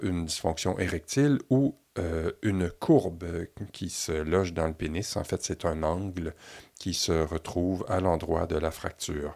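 A man's very deep, low voice in a Quebec accent, at a fairly slow pace. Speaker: podcast host, physiotherapist. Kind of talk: scripted narration; interview.

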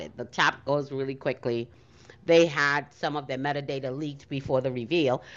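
A woman's animated tone at a moderate pace. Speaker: co-host of NFT audio space. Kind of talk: casual chat.

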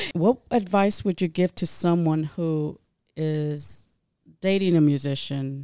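In an American accent, a woman talks very slowly in a very deep, low, dark, mellow voice with ordinary pitch variation, on a very clean recording with a silent background. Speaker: podcast host. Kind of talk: casual interview.

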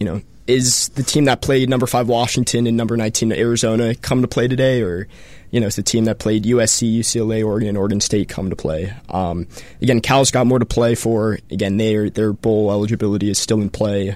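An unremarkable speaking voice: a man with an American accent, medium pitch, fairly even intonation and a fairly quick pace. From Colorado. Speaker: student sports fan. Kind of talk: casual sports talk. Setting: radio studio.

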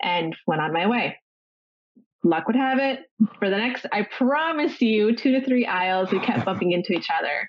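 The speaker has a Canadian accent and a moderate pace. The pitch swings very widely. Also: woman. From Ontario, Canada. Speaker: podcast co-host, burn survivor. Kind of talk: casual chat.

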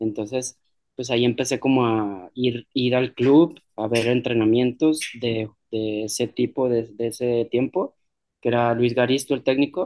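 At a fairly slow pace, a man speaks at medium pitch with fairly even intonation and a dark, mellow tone. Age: 40s. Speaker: musician. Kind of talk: interview.

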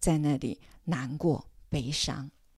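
A woman in a very clean recording with a silent background and a dry, close sound with no echo. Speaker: podcast host, retired counselor. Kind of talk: scripted narration. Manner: hesitant, many filler sounds.

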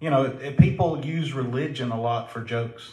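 A man speaks at medium pitch with a Southern US accent. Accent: Southern drawl. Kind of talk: casual chat.

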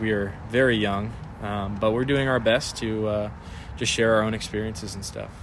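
A man talks at a fairly quick pace in a medium pitch with fairly even intonation. Audible room echo surrounds his voice. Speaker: podcast co-host. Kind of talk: casual chat.

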